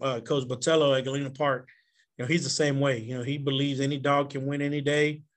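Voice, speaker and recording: With a Texan accent, a man speaks fairly quickly in a fairly high pitch and a monotone, flat intonation. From Houston east side, Texas. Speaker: high school football coach. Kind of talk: casual interview chat.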